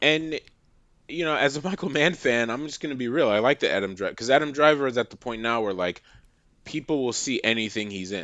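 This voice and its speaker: Against a quiet background, a man with an American accent talks at a fairly quick pace and a medium pitch. His tone is bright and sharp, with lively intonation. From Massachusetts. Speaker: film critic. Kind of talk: casual chat.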